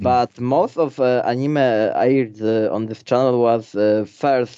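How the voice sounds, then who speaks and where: Slow-paced and fairly even in intonation, a man talks. His tone is dark and mellow. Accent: Polish. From Poland. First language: Polish. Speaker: YouTuber. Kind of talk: interview.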